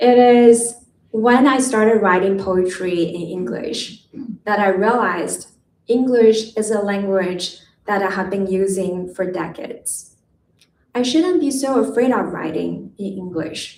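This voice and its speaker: A woman talks at a medium pitch and a fairly slow pace. Her pitch varies in an ordinary way. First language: not English. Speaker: poet. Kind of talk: poetry reading. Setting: stage with audience.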